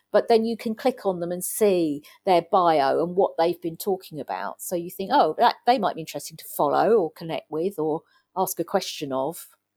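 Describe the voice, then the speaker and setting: A woman with an English accent speaks at a moderate pace, her fairly low voice dark and mellow with lively intonation and big swings in loudness. The recording is very clean with a silent background and a dry, close sound with no echo. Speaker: digital consultant. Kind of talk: interview.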